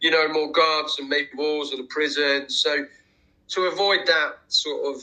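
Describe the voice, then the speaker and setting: A man talks in a London accent at a fairly slow pace. His voice is fairly high, with a bright, sharp tone. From England, Watford near London. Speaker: war veteran, former prisoner of war. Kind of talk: interview testimony. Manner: halting, many fillers and repeated words.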